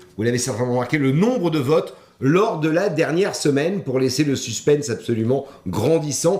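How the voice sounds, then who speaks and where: A man talks in an ordinary speaking voice at a fairly high pitch. His intonation is lively and his pace moderate. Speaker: event host. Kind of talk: live event presenting. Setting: live online broadcast.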